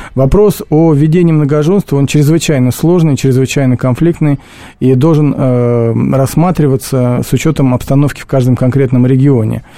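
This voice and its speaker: Loudness stays very even as a man talks at a moderate pace. His voice is fairly high-pitched, with a dark, mellow tone and ordinary pitch variation. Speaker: lawyer. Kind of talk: radio studio discussion. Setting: studio.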